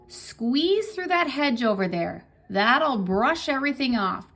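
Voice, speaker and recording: Putting on a character voice, a woman speaks at a high pitch and a fairly slow pace with very wide pitch swings. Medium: read story.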